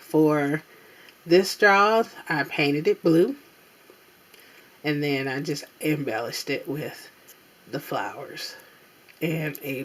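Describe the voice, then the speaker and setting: Speech comes at a very slow pace with long, frequent pauses. Noticeable background noise is present. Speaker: crafting video maker. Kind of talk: show-and-tell tutorial. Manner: casual, with fillers.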